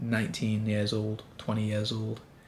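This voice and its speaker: A man speaks at a moderate pace, with music playing in the background. The room's echo can be heard. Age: 20s. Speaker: vlogger. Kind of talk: personal vlog monologue. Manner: casual.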